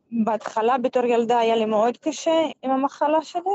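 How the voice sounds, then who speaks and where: In an Arabic accent, a woman talks at a fairly slow pace with a high pitch. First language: Arabic (speaking Hebrew). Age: 30s. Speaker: Paralympic goalball player. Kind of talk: interview.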